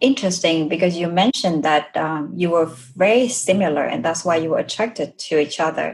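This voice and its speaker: A woman with a Vietnamese accent speaks at a moderate pace, her pitch fairly low with ordinary variation. Her voice is somewhat breathy. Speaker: podcast host. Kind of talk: interview.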